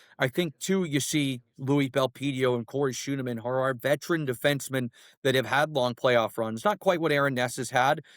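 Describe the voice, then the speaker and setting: Talking at a fairly quick pace, a man has a medium pitch and an unremarkable speaking voice. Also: dry, close sound with no echo. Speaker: radio play-by-play announcer, hockey guest. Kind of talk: podcast interview answer, hockey analysis.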